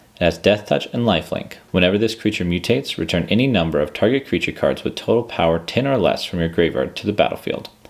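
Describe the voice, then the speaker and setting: Very fast speech with hardly any pauses over noticeable background noise. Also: man, very deep, low pitch for a man, lively intonation. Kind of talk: calm card-reading ASMR. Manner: calm, steady.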